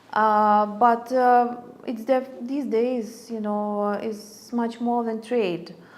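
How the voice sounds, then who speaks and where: In a Lithuanian accent, a woman with a fairly high voice talks at a very slow pace with fairly even intonation, and some room echo can be heard. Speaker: ambassador. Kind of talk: interview. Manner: halting, many fillers.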